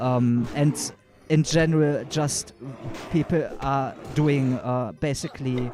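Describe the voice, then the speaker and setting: Through noticeable background noise, a man with a German accent talks in a fairly high pitch. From Germany. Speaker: gaming YouTuber. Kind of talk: livestream commentary. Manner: halting, many fillers.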